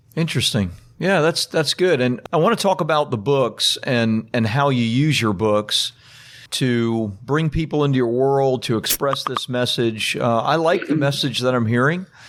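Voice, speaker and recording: At a moderate pace, a man speaks with an unremarkable speaking voice at medium pitch, with very even loudness and ordinary pitch variation. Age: 50s. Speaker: podcast host. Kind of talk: interview.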